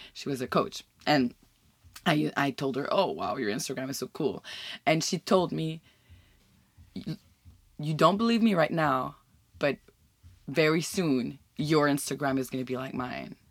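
A woman with a French Canadian accent talks at a fairly slow pace with long, frequent pauses, lively intonation, vocal fry, and a very deep, low pitch, on a very clean recording with a silent background. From Quebec. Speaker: podcast host. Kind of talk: casual chat.

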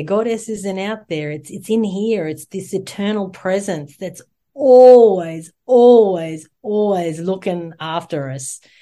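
A woman's medium-pitched voice with a dark, mellow tone, ordinary pitch variation and a very slow pace. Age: 40s. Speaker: yoga teacher and online show host. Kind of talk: casual interview chat.

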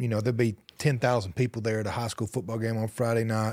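A man speaks with a Southern US accent. The sound is dry and close with no echo, on a very clean recording with a silent background. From US South, rural Alabama. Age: 40s. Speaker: country singer. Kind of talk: interview.

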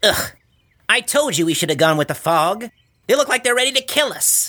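A whiny, put-on character voice with fairly high pitch. It moves at a fairly quick pace. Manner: complaining.

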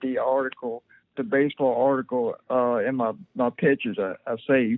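With a Southern US accent, a man talks at a moderate pace and a medium pitch. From US South, rural southern Mississippi. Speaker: paralyzed former baseball player. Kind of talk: interview, personal story.

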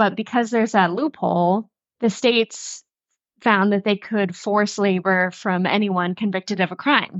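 A woman with an American accent uses an ordinary speaking voice, medium pitch, ordinary pitch variation and a moderate pace. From Western North Carolina. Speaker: podcast co-host. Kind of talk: casual chat.

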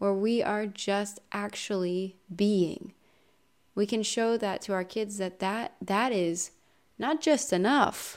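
Ordinary pitch variation marks this very slow delivery with an American accent. The recording is very clean, and the background is silent. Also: woman. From Ohio, US Midwest. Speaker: podcast host. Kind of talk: casual monologue.

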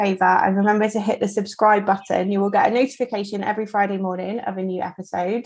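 Against a quiet background, a woman with a slight Devon accent speaks very fast. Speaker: podcast co-host. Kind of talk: casual chat.

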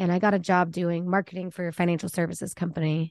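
A normal speaking voice with an American accent, in a dry, close sound with no echo over a quiet background. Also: woman. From Texas, Dallas area. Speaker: country singer-songwriter. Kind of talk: casual chat.

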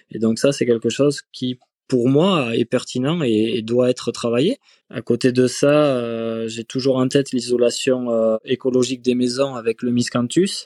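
The man's dark, mellow tone holds fairly even intonation. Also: medium pitch for a man, fairly slow pace, dry, close sound with no echo. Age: 20s. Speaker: duck farmer. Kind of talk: interview.

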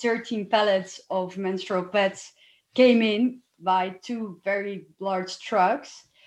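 A woman with a Dutch accent speaks at a very slow pace, in a medium pitch with fairly even intonation. The background is quiet. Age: 30s. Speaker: lawyer. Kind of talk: interview.

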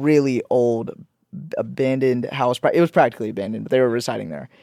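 An unremarkable speaking voice with fairly even intonation comes through a very clean recording with a silent background and a dry, close sound with no echo. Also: man. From born in Pakistan, raised in Georgia and Florida, US. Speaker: musician, songwriter and producer. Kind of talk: casual interview chat.

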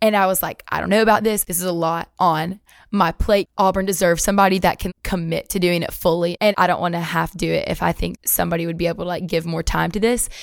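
Talking very fast in a Southern US accent, a woman keeps a fairly low pitch and a monotone, flat intonation. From Alabama, US South. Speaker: university student, pageant winner. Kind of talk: casual interview.

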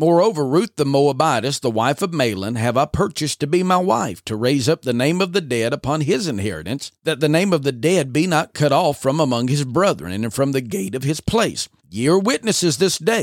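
A man with an ordinary speaking voice and fairly high pitch talks fairly quickly with lively intonation and hardly any pauses, the sound dry and close with no echo in a very clean recording with a silent background. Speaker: podcast host. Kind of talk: scripture reading, dramatized audio adaptation narration. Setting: studio. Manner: measured, solemn, reverent narrator cadence with archaic King James phrasing.

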